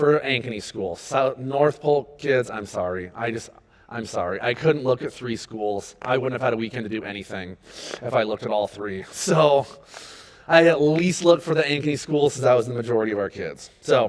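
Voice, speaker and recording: A man with an American accent speaks at a moderate pace with ordinary pitch variation. Noticeable background noise runs underneath. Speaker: youth pastor. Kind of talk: volunteer training talk. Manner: loud; high energy.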